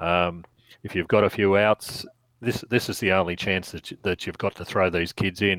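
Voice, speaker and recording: In an Australian accent, a man speaks fairly quickly in a very deep, low voice with fairly even intonation. The sound is dry and close, with no echo. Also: very clean recording, silent background. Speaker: podcast co-host. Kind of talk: casual chat.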